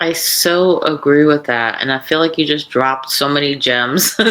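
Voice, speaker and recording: Noticeable background noise sits under the speech. A woman with a very deep, low pitch talks at a moderate pace. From South Africa. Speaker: podcast host. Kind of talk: podcast interview.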